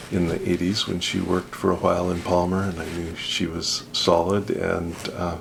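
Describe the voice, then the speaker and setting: Over noticeable background noise, a man with a very deep, low pitch and an American accent speaks in a monotone, flat intonation at a fairly slow pace. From Alaska. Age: 60s. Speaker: judge, trip participant. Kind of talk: interview.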